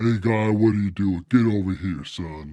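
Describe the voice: A man's put-on character voice at a fairly low pitch and a moderate pace.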